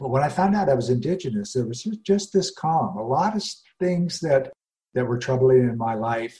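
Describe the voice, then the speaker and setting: A man with an American accent speaks at a medium pitch and moderate pace, somewhat breathy, with a dark, mellow tone and lively intonation. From US Rocky Mountains. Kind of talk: interview.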